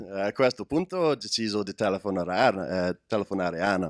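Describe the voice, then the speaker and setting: The sound is dry with no echo, set against a quiet background. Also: man. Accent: English. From Scotland. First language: English (speaking Italian). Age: 20s. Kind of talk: testimony. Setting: stage with audience. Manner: halting. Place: hall. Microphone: handheld.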